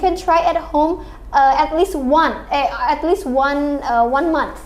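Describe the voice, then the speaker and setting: A woman speaks with ordinary pitch variation. There is noticeable background noise in the recording. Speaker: podcast host.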